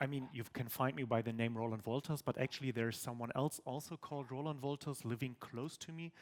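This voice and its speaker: Dry and close with no echo, a man with a normal speaking voice talks at a fairly quick pace. His medium pitch shows ordinary pitch variation. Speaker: tech conference speaker. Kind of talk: conference talk. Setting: stage with audience.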